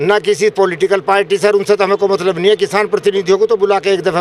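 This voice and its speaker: Against noticeable background noise, a high-voiced man talks at a moderate pace. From India, western Uttar Pradesh (near Modinagar). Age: 70s. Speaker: farmer. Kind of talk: street interview.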